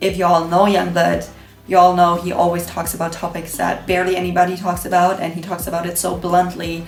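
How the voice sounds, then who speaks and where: Against music in the background and audible room echo, a woman with a non-native accent talks at a fairly quick pace, her fairly low voice monotone with flat intonation. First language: not English. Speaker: beauty vlogger. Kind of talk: casual vlog monologue while doing makeup. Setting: home kitchen.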